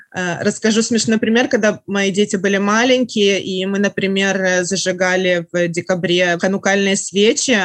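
A woman talks at a moderate pace. There is noticeable background noise behind her. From Russia. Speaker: writer. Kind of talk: casual chat.

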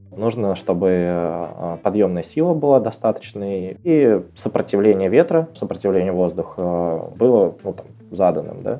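Spoken at a fairly slow pace with lively intonation, the voice swings widely in loudness over noticeable background noise. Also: man, fairly low pitch for a man. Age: 20s. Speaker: head of analytics at a tech company. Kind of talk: interview.

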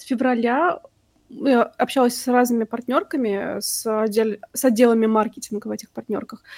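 Fairly even intonation meets big swings in loudness at a moderate pace. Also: woman, high pitch for a woman. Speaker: podcast host. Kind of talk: casual chat.

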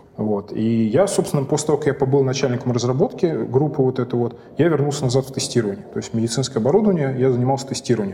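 Very fast speech from a man at a medium pitch, ordinary pitch variation and hardly any pauses, over noticeable background noise. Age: 40s. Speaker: chief technology officer. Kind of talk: interview.

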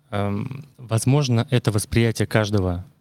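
This man's voice sits at a fairly low pitch. His intonation stays fairly even. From Russia, Murmansk. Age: 30s. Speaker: detailing products consultant. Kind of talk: casual interview. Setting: studio.

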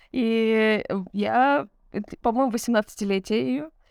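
A woman with a fairly high voice speaks very slowly on a very clean recording with a silent background. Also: long, frequent pauses. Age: 30s. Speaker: podcast co-host. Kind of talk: casual chat. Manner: animated.

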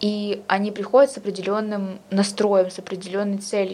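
Here is a woman with an ordinary speaking voice. She talks at a moderate pace with a medium pitch. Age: 20s. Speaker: history student. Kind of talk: casual chat.

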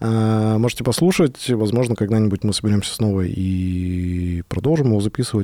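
A dark, mellow, fairly low male voice at a moderate pace on a very clean recording with a silent background. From Sverdlovsk region, Russia. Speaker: podcast co-host, IT team lead. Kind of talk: casual chat. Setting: studio.

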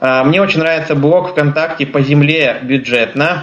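With a plain, everyday voice, a man speaks at a moderate pace, his fairly high pitch carrying fairly even intonation. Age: 20s. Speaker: blind traveler and trainer giving a webinar. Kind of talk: webinar talk.

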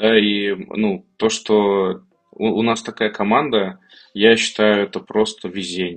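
A man speaking very slowly, fairly even intonation, music playing behind him. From Kazan, Russia. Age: 30s. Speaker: tech startup founder. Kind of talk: podcast interview.

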